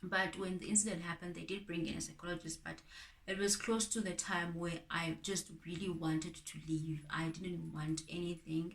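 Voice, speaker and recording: At a moderate pace, a woman with a fairly low pitch and a somewhat breathy voice keeps her intonation fairly even. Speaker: YouTuber. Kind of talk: personal vlog testimony. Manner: subdued.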